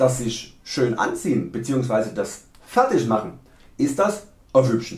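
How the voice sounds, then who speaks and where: A man speaks in a serious tone at a very slow pace. Audible echo surrounds his voice in the room. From Saxony, Germany. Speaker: video creator. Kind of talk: humorous dialect lesson to camera. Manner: tongue-in-cheek, mock-serious. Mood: playful, joking.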